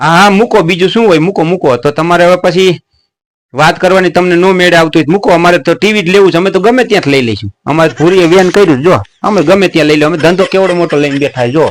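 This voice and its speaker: A man with a high pitch speaks with ordinary pitch variation and very even loudness. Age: 50s. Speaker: comedian. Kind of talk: prank call comedy.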